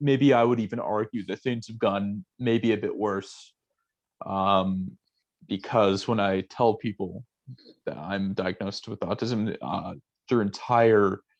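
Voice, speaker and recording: A normal speaking voice from a man, fairly low in pitch, at a fairly slow pace with ordinary pitch variation over a quiet background. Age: 20s. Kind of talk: casual chat.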